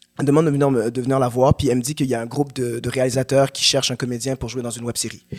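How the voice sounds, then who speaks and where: The sound is dry and close with no echo. A man speaks very fast at a medium pitch, in a flat, monotone way. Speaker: actor. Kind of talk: casual chat.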